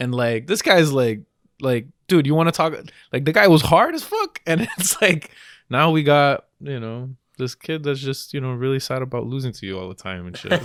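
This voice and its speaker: Recorded very cleanly against a silent background, a man with a Spanish accent and a fairly high pitch talks at a moderate pace with lively intonation and big swings in loudness. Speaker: podcast co-host. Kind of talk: casual chat. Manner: animated.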